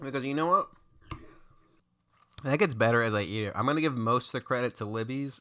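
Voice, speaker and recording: A man mumbling at a very fast pace, medium in pitch and bright and sharp in tone, with long, frequent pauses. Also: ordinary pitch variation. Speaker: food vlogger. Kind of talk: casual vlog review.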